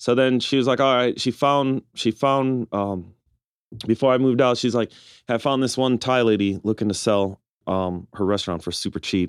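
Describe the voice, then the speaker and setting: An unremarkable speaking voice with an American accent at a moderate pace, ordinary pitch variation, and a dry, close sound with no echo on a very clean recording with a silent background. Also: man, medium pitch for a man. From Milwaukee, Wisconsin. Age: 40s. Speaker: restaurant owner. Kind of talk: casual chat.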